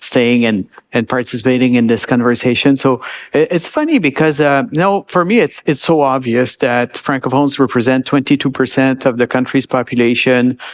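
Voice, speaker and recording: A man with a Quebec accent, medium pitch, ordinary pitch variation and a moderate pace. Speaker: bank executive. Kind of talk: panel discussion.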